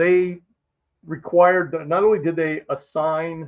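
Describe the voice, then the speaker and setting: A man with an American accent speaks in a normal speaking voice. His pitch is fairly high and his pace moderate. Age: 60s. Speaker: Marine Corps veteran. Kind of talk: interview testimony.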